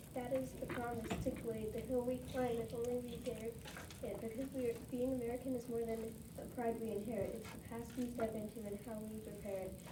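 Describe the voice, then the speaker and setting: A woman at a fairly high pitch and fairly quick pace, with monotone, flat intonation over noticeable background noise. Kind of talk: poetry reading.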